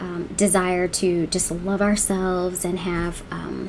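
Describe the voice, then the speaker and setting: A woman speaks at a very slow pace with noticeable background noise behind her. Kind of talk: casual talk to camera.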